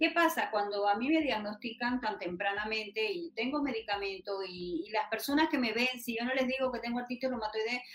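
Noticeable background noise sits behind a woman who speaks at a fairly quick pace. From Panama, Los Santos province. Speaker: patient rights activist. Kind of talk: interview.

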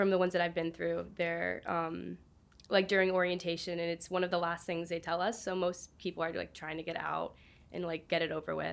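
A woman with a normal speaking voice, fairly low pitch and fairly quick pace, on a very clean recording with a silent background. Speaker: student opinion writer. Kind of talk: casual interview.

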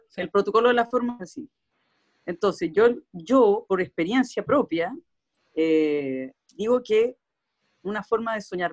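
A woman with a Chilean accent speaks at a medium pitch with lively intonation. The sound is dry and close, with no echo. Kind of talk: casual chat.

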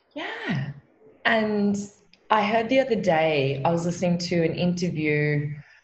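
A woman with an Australian accent talks at a fairly slow pace and fairly low pitch with lively intonation, amid audible room echo and noticeable background noise. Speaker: meditation teacher and coach. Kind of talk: casual chat.

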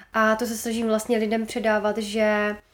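Fairly quick, monotone, flat speech from a woman with a fairly high pitch. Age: 20s. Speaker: entrepreneur and social media creator. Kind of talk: podcast interview.

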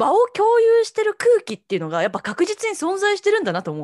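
A woman talks at a fairly quick pace, recorded dry and close with no echo. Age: 30s. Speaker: podcast co-host. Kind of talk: casual chat.

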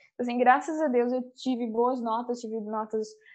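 Against a quiet background, a woman speaks at a moderate pace in a high voice with a dark, mellow tone and monotone, flat intonation. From Brazil, Curitiba. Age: young. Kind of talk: casual interview.

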